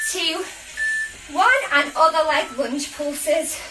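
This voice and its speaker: A woman's raised, projected voice at a fairly slow pace, with clear music in the background. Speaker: fitness instructor. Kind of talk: workout coaching. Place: home room. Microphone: camera far.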